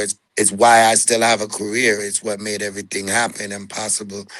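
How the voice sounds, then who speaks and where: A man speaks with a bright, sharp tone. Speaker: reggae singer. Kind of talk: interview.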